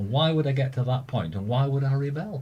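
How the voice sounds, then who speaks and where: With a Lancashire accent, a man of medium pitch speaks at a fairly quick pace in a dark, mellow, somewhat breathy tone. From Lancaster, northern England. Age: 70s. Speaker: hospital radio presenter. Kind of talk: casual chat.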